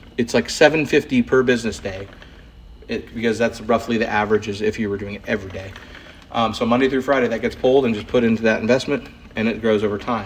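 There is noticeable background noise as a man talks at a fairly quick pace with fairly even intonation. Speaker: poker podcast host. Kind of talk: poker hand analysis; solo podcast monologue. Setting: recording at wife's hair salon.

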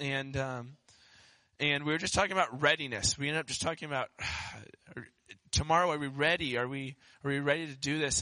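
Against a quiet background, a man speaks at a fairly quick pace with a fairly high pitch, a bright, sharp tone, a sad tone, and fairly even intonation. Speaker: pastor. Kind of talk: sermon. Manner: subdued, sad-sounding.

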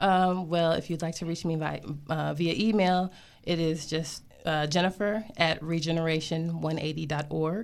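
The recording is very clean with a silent background. A woman with a normal speaking voice and fairly low pitch talks at a moderate pace with fairly even intonation. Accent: American. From Michigan, US (Flint area). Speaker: school psychologist and community school founder. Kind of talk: radio interview.

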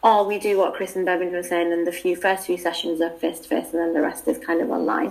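Over noticeable background noise, a woman with a fairly low voice talks very fast with hardly any pauses. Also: fairly even intonation. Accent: British. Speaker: PhD student and contributing author.

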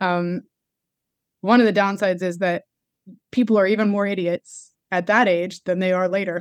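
A woman's flat, monotone delivery with long, frequent pauses, in a dry, close sound without echo. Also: medium pitch for a woman, moderate pace. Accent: American. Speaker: church planter and pastor.

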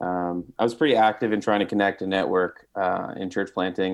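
A man speaks with an American accent. His voice is very deep and low, with fairly even intonation. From northeast New Jersey. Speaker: pastor. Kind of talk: casual interview.

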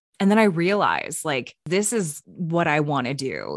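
A plain, everyday voice with ordinary pitch variation over a quiet background. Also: woman. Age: 30s. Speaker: radio broadcaster and podcast co-host. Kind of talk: casual chat.

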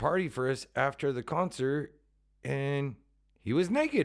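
At a fairly slow pace, an unremarkable speaking voice shows ordinary pitch variation in a very clean recording with a silent background. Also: man. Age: middle-aged. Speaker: podcast co-host and touring punk musician. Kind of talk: casual chat.

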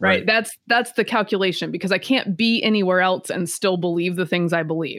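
A woman with an American accent has an unremarkable speaking voice at medium pitch with ordinary pitch variation. She talks at a fairly quick pace with hardly any pauses, in a very clean recording with a silent background. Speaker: political commentator. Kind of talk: casual interview.

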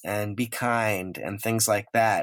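This speaker has an American accent. The pace is fairly slow. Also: man. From Long Island, New York. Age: 50s. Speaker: pop artist. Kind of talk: interview.

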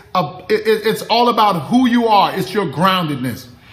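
A man with a high pitch talks in an animated tone with very wide pitch swings. Audible room echo and noticeable background noise are present. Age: 50s. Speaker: leadership coach and live-stream host. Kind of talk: motivational livestream talk. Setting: outdoor backyard livestream.

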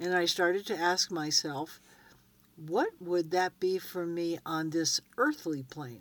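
In a very clean recording with a silent background, a woman with an ordinary speaking voice and a fairly low pitch talks at a fairly slow pace. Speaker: co-host and ranch barn manager.

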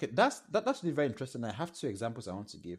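This man speaks with a Nigerian accent. His pitch sits in the medium range. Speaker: product designer. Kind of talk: casual interview.

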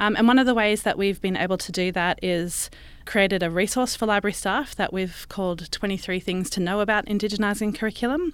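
A woman speaks with an Australian accent at a medium pitch and a very fast pace. Her pitch variation is ordinary, and the recording is very clean with a silent background. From Brisbane, Australia. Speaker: librarian. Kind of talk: interview.

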